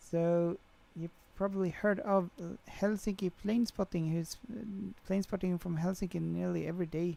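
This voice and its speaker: In a Swedish accent, a woman talks at a medium pitch and moderate pace, her tone dark and mellow and her intonation fairly even. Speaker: flight sim streamer. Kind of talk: live stream chat. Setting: livestream.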